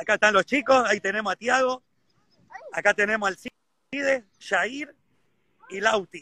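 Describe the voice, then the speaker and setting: A man's high, raised and projected voice at a fairly slow pace, with ordinary pitch variation, long and frequent pauses, and a dry, close sound with no echo. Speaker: golf professional. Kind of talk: casual interview.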